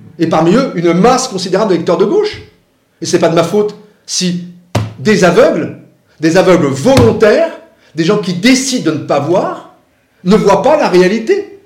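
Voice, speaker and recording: Amid audible room echo, a man with a high pitch and lively intonation talks at a moderate pace, leaving long, frequent pauses. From Paris, France. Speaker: former political adviser and author. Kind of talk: interview.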